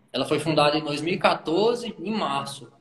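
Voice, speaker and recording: Fairly high pitch for a man, with ordinary pitch variation and noticeable background noise. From Brazil, Brasília outskirts. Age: 20s. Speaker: pastor. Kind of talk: casual chat.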